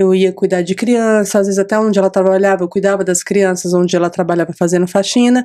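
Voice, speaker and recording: Delivery comes at a fairly quick clip. A dark, mellow tone colors the voice. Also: woman. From Brazil, São Paulo (Capão Redondo). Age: 40s. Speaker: hairstylist and podcast host. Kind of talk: interview about her life story.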